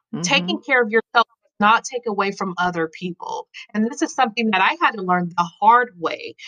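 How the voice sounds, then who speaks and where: An ordinary speaking voice with an American accent, lively intonation and a moderate pace. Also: woman. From Colorado, US (Denver). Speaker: military spouse and writer. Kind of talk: interview.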